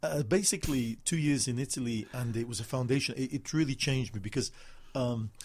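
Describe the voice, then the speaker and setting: Somewhat breathy, a man with a medium pitch talks at a fairly quick pace with ordinary pitch variation. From northern England, Manchester. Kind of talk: interview. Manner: halting.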